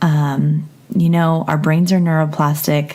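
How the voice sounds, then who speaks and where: Over noticeable background noise, a woman with a very deep, low pitch speaks in a calm, relaxed tone with fairly even intonation. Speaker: podcast host and therapist. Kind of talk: casual intro to a guided meditation.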